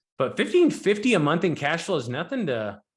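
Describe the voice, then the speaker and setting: This man speaks at a very fast pace. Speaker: real estate investor and note investing teacher. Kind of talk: educational presentation. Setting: live online event for students.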